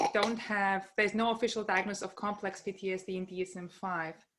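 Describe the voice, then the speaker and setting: In a very clean recording with a silent background, a woman speaks with a German accent. Her tone is bright and sharp. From Germany. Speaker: psychologist. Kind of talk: lecture. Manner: hesitant, many fillers.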